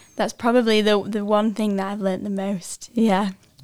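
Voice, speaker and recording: A woman talks at a fairly quick pace in a monotone, flat intonation. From northwest England, near Lancaster. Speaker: Bible school student. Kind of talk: testimony.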